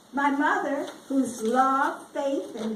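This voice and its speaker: A woman with an American accent talks at a very slow pace, her pitch high and its variation ordinary. Noticeable background noise and audible room echo fill the recording. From US South. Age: 80s+. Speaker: retired education official. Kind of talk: speech.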